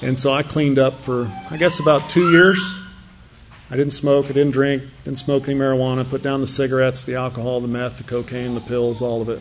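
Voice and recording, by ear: A man at a medium pitch and fairly quick pace, little pitch movement, audible room echo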